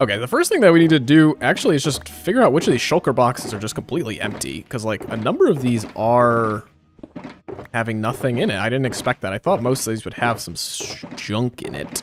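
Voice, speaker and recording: Amid noticeable background noise, a man of medium pitch talks at a fairly quick pace with lively intonation. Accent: American. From northeastern US. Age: 20s. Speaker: gaming streamer. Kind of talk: live gameplay stream chat. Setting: live stream. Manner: casual, filler-heavy.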